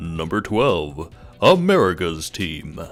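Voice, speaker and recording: Music plays in the background as a man uses a put-on character voice. He speaks at a fairly slow pace with a very deep, low pitch. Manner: announcer voice.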